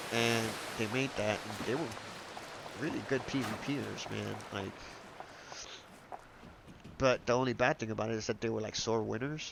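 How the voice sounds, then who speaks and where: A man talks at a fairly slow pace, stopping often for long pauses. His intonation stays fairly even over noticeable background noise. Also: medium pitch for a man. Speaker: video game streamer. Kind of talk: casual gameplay commentary. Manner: rambling, hesitant.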